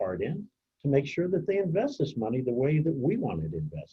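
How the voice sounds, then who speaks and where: Vocal fry marks this man's speech, which moves at a moderate pace through very wide pitch swings. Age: 70s. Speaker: community organizer. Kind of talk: presentation Q&A.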